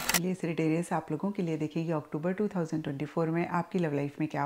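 In an unremarkable speaking voice, a woman with a fairly low pitch speaks at a moderate pace. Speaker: tarot reader. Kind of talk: tarot reading talk to viewers. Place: home room.

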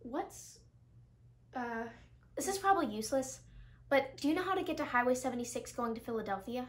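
A woman's high-pitched voice with lively intonation at a fairly quick pace. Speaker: actor in skit. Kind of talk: scripted dialogue. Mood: friendly, light. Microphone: headset.

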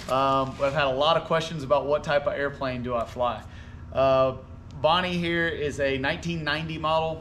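Delivered at a moderate pace with fairly even intonation, the voice sits over light background noise. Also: man. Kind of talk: casual vlog chat. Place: garage. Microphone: camera far.

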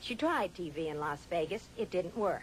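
A woman's fairly low voice at a moderate pace, an unremarkable speaking voice. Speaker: TV interviewer. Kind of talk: TV segment narration.

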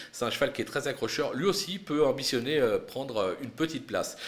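This man's pitch is fairly high. He speaks at a moderate pace. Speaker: horse racing tipster. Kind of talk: race preview with tips and betting advice, not a live call. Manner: brisk, confident, measured tipster delivery, punchy verdicts; occasional hesitations, fillers like 'euh'.

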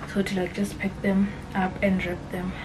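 A woman speaks with music in the background. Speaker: vlogger. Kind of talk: casual vlog chat. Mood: relaxed, chatty storytelling. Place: home room. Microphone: phone near.

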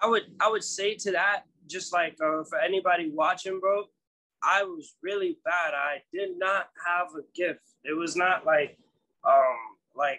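This man's voice sits at a high pitch, with a bright, sharp tone and ordinary pitch variation. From Guinea, raised in New York. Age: young. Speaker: rapper and songwriter. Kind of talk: interview. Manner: halting, many fillers. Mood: relaxed, earnest. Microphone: video call.

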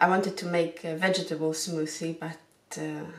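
Her voice is fairly low for a woman, delivered in a flat monotone. Room echo is audible. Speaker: lifestyle vlogger. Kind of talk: casual vlog chat. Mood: calm, relaxed morning. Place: kitchen. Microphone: phone near.

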